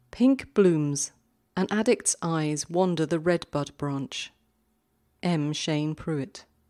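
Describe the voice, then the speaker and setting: Very slowly and with ordinary pitch variation, the voice carries a calm, gentle tone and a dark, mellow tone, recorded very cleanly against a silent background with a dry, close sound and no echo. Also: woman, fairly low pitch for a woman. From Britain. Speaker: podcast host and poetry reader. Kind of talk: poetry reading haiku, read aloud in short pauses between poems. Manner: calm, measured, gentle delivery.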